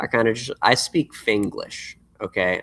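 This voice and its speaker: The voice comes with an American accent. There is no echo, and the sound is dry and close. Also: man. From Los Angeles, US West Coast. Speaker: musician. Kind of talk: live stream chat. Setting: livestream. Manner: casual, halting with fillers.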